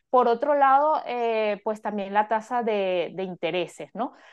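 An ordinary speaking voice delivers lively intonation at a fairly slow pace. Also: woman. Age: 40s. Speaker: finance coach. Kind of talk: interview.

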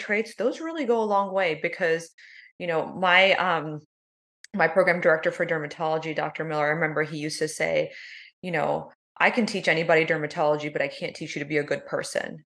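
A woman with an American accent speaks in a normal speaking voice, fairly low in pitch, with ordinary pitch variation. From US South, South Georgia (Valdosta). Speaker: dermatologist. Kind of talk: podcast interview.

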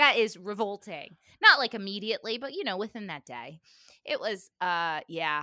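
A woman with a medium pitch and a bright, sharp tone speaks animatedly at a moderate pace, her pitch swinging very widely and her loudness varying greatly, in a dry, close sound with no echo on a very clean recording with a silent background. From Cuban-American family. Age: 30s. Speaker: podcast host. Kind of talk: casual chat.

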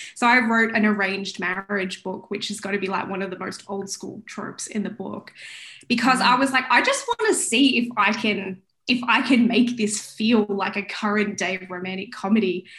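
Speaking at a moderate pace, a woman has a fairly high pitch and an Australian accent. Noticeable background noise runs underneath. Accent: Australian, milder than typical. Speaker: romance author. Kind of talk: interview.

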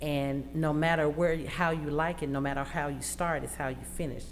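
Recorded with audible room echo, a woman with an Arkansas accent talks at a moderate pace. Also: hardly any pauses. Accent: Southern US (Arkansas). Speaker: college student. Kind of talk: radio interview. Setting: radio studio.

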